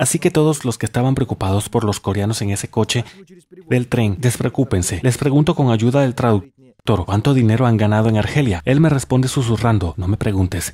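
The man's voice is somewhat breathy, with a dark, mellow tone. He talks at a fairly quick pace in a medium pitch, with ordinary pitch variation. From Russia, Samara. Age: 30s. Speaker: travel vlogger. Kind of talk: documentary narration.

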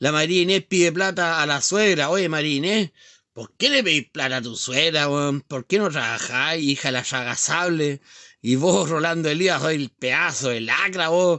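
At a fairly slow pace, the voice shows ordinary pitch variation, with a dry sound with no echo and a quiet background. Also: man. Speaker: live streamer. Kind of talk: casual live stream rant. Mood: mocking, heated, laughing. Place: home room. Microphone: phone near.

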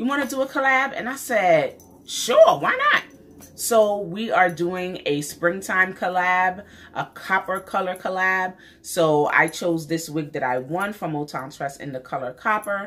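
A woman talks with a New York accent. Her intonation is lively and her pace fairly slow. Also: medium pitch for a woman. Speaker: beauty YouTuber. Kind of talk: casual vlog talk to camera. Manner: animated. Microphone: phone near.

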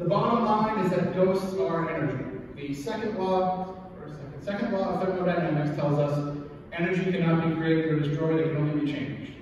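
Over light background noise and strong room echo, a man speaks at a fairly quick pace and high pitch with ordinary pitch variation. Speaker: presenter. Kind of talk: lecture. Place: meeting room.

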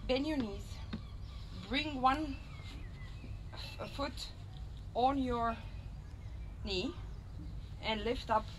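A very slow woman's voice with long, frequent pauses and noticeable background noise. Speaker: fitness instructor. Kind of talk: casual workout instruction. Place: garden. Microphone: camera far.

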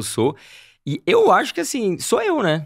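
A man is speaking. The background is quiet. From Campinas, São Paulo state, Brazil; São Paulo, Brazil. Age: 30s. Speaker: travel youtuber. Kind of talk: casual interview chat. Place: studio. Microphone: studio mic.

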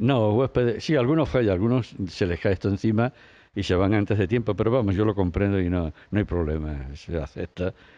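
A man with a dark, mellow tone and lively intonation, moderate pace, quiet background. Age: 80s+. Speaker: monk. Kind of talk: interview. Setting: outdoors.

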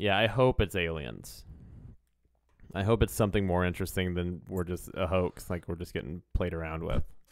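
Against a quiet background, a man with a very deep, low pitch talks at a moderate pace with ordinary pitch variation. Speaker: comedy podcast co-host; podcast co-host. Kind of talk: casual chat. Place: home room. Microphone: studio mic.

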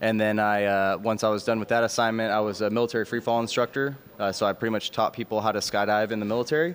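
Fairly even intonation comes at a very fast pace. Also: man. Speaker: military parachutist; guest. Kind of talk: interview. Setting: outdoors. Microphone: handheld.

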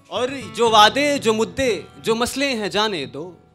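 Over clear background music, a man speaks very slowly with lively intonation. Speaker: spoken word poet. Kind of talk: live poetry performance. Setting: live open-mic event. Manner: emotional, with repeated phrases. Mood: wistful, emotional. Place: stage. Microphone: handheld.

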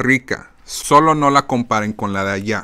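An animated man talks with lively intonation and a bright, sharp tone. The background is quiet. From Mexican-American, born in Phoenix, raised partly in Mexico; Arizona. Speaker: podcast host. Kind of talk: casual monologue. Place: home room. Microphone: studio mic.

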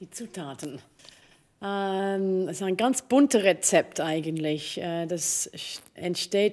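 A woman with a Swiss accent speaks at a very slow pace in a dark, mellow tone. Her pitch varies in an ordinary way, and the background is quiet. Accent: speaks Swiss dialect well. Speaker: opera singer; interviewee. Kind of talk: interview. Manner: halting, many fillers. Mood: warm, amused storytelling. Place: stage. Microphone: studio mic.

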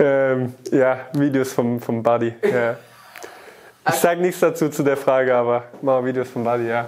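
The man's pace is fairly slow. His intonation stays fairly even. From Baden, southwest Germany; Germany. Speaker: professional footballer. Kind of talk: casual interview. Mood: amused, laughing. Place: studio.

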